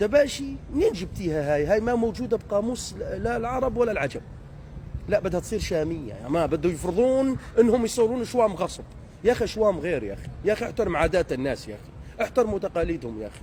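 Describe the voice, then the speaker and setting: A man with a high voice talks at a fairly quick clip, his tone animated and his intonation lively, over noticeable background noise. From Deir ez-Zor, eastern Syria. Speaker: social media commentator. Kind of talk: comedic rant monologue. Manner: animated, mimicking regional dialects.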